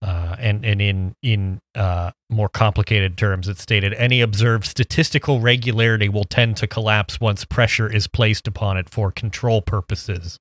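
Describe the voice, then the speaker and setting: A man with an unremarkable speaking voice and fairly low pitch talks at a moderate pace with fairly even intonation and hardly any pauses, on a very clean recording with a silent background. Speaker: podcast host. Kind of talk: casual chat.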